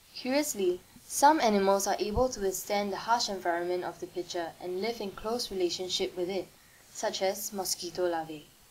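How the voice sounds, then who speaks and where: A woman talks at medium pitch and a fairly quick pace with ordinary pitch variation. It is an unremarkable speaking voice. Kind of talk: nature documentary narration, scripted and informative. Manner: measured, even-paced and formal, like a calm educational narrator; clear and precise, with a neutral, slightly curious tone.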